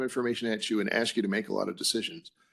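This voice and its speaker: A man speaks at a fairly quick pace with a medium pitch. His pitch variation is ordinary. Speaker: commission executive director. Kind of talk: public meeting roll call and report. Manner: quiet; halting with many fillers.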